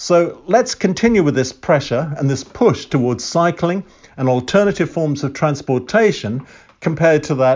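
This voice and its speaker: In an English accent, a man speaks at a moderate pace. His fairly high pitch carries lively intonation. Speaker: civic society chair podcaster. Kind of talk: monologue podcast commentary. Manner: formal, opinionated.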